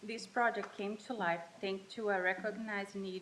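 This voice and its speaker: A woman with a Portuguese accent, medium pitch, fairly even intonation and a moderate pace. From Brazil. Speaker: college student. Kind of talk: student presentation. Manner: halting, self-correcting.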